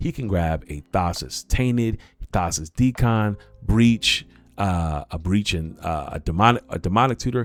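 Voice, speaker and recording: Music plays in the background as the speaker goes at a fairly slow pace with an animated tone and lively intonation. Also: man, fairly low pitch for a man. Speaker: cEDH content creator and streamer. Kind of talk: livestream deck tech. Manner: casual, animated.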